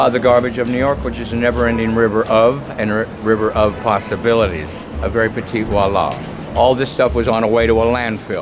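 Music plays behind a man with an American accent who talks very fast at a medium pitch with ordinary pitch variation. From Portland, Oregon. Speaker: street artist and poet. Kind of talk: interview answer. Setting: outdoors. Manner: fast, rapid-fire. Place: street. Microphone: phone near.

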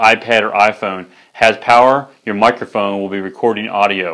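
Fairly low, bright and sharp male voice with ordinary pitch variation against a quiet background. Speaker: product reviewer. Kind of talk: product review presentation. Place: studio. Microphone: lapel.

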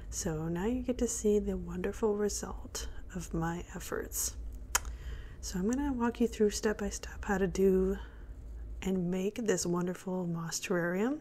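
Soft-spoken and calm, with a relaxed tone, the speaker goes at a fairly slow pace over light background noise. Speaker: hobby gardener. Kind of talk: soft-spoken ASMR gardening tutorial to camera. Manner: soft-spoken, calm, relaxed. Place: kitchen. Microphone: phone near.

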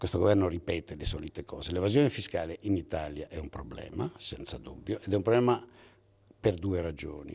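A man's very deep, low voice with a dark, mellow tone and vocal fry, moving at a fairly quick pace with lively intonation. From Italy, Veneto (Padua); Veneto, Italy. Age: 60s. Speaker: economics professor. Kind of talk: interview; interview answer. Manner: halting, with self-corrections. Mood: argumentative, lively. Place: hall. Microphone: handheld.

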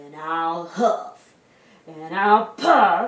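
A woman in a put-on character voice speaks very slowly with lively intonation and a fairly bright tone, and the room echo is audible.

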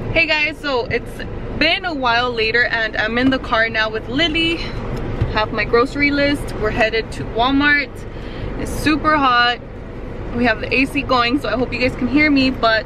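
A woman speaks in a raised, projected voice at a moderate pace, with ordinary pitch variation. The sound is dry with no echo, and there is noticeable background noise. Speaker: mom vlogger. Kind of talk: casual vlog chat. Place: car. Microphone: phone near.

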